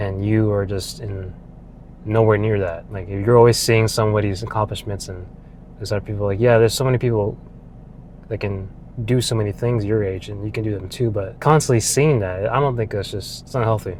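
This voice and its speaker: Room echo can be heard around the speaker. He is a man with a fairly low voice. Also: fairly even intonation, fairly quick pace. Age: 20s. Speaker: vlogger. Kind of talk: casual monologue. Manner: casual, with many fillers.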